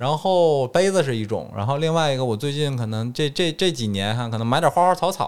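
In a northeastern Chinese accent, a man talks at a fairly quick pace with hardly any pauses and a fairly high pitch. The recording is very clean, with a silent background. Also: lively intonation. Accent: Northeast Chinese. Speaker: dentist. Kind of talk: casual chat.

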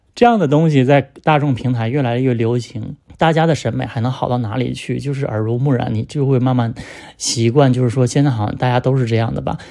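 Talking at a fairly quick pace, a man with a dark, mellow tone keeps a medium pitch and fairly even intonation. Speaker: podcast host discussing music. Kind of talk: solo casual monologue on music. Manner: conversational, with frequent fillers.

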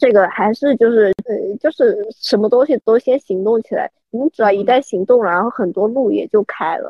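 A woman with a plain, everyday voice talks at a fairly quick pace, her pitch fairly high with ordinary pitch variation. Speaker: UX designer. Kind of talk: casual chat.

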